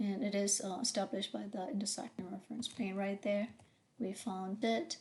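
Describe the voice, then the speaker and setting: At a moderate pace, a woman talks in a somewhat breathy voice with ordinary pitch variation. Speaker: engineering professor. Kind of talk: lecture. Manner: halting, many fillers.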